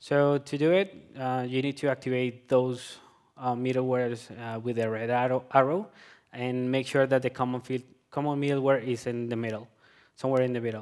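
Against a quiet background, a man with a Colombian accent speaks at a fairly quick pace, medium in pitch, with fairly even intonation. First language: Spanish. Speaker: software developer. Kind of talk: conference talk. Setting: stage with audience. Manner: halting, many filler words. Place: hall.

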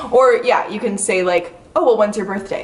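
A woman talking at a fairly quick pace. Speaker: astrology YouTuber. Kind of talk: casual chat. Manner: animated. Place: home room. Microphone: camera far.

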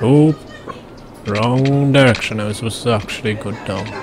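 Noticeable background noise lies under fairly even intonation delivered at a moderate pace. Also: man. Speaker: gamer. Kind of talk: gameplay commentary. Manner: casual.

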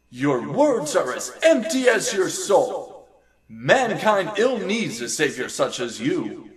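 At a fairly slow pace, a man performs a put-on character voice. His pitch is high. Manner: defiant, righteous.

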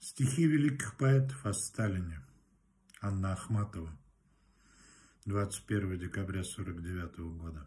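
A man speaks in a dark, mellow tone at a fairly low pitch, somewhat breathy. His intonation is lively, broken by long, frequent pauses. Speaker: poetry reciter. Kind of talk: poem reading aloud, solemn. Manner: formal, declamatory, slow and measured; reverent, elevated tone. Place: home room. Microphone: phone near.

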